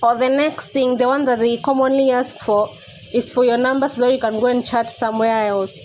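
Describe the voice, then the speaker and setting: A woman speaks in a high pitch at a fairly quick pace, her intonation monotone and flat. Her loudness stays very even over noticeable background noise. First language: not English. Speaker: YouTuber. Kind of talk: tutorial. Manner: casual, conversational.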